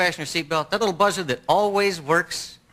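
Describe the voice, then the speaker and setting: A man with a high pitch and an American accent speaks in a raised, projected voice at a very fast pace. Noticeable background noise runs behind him. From Texas (Lubbock). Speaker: stand-up comedian. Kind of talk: stand-up.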